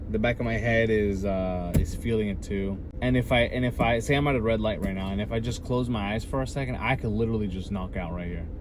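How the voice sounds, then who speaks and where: In an American accent, a man with a fairly low pitch and ordinary pitch variation talks at a very fast pace with hardly any pauses, over noticeable background noise and audible room echo. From Southern California. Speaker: handyman vlogger. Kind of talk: casual vlog talk. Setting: in a car. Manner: slightly slurred; halting.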